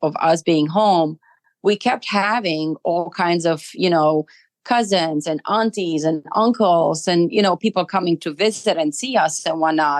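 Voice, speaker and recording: The voice carries a Romanian accent with ordinary pitch variation. The sound is dry and close, with no echo. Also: woman. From Romania, Arad. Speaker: immigrant interviewee. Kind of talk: interview. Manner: hesitant, many fillers.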